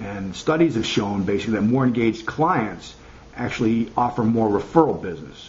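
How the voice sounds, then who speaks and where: A man's medium-pitched voice at a fairly quick pace, over light background noise. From US Midwest, Chicago. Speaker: marketing consultant. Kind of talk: tutorial. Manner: halting, many fillers. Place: home room. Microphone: webcam.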